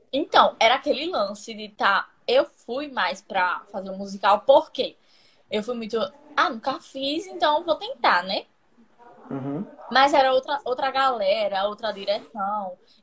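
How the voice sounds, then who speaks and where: Amid noticeable background noise, a woman speaks at a fairly slow pace in a high pitch with very wide pitch swings. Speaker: stage actress. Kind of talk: casual chat. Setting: instagram live video call. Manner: halting.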